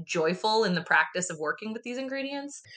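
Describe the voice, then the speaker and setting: A woman talks at a fairly quick pace with an American accent. Hers is an unremarkable speaking voice, with ordinary pitch variation. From US, rural commune. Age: 30s. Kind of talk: casual interview.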